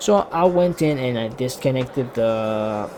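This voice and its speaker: Noticeable background noise runs under this man's voice. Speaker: YouTuber telling a personal story. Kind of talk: casual storytelling vlog. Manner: halting, many fillers and self-corrections.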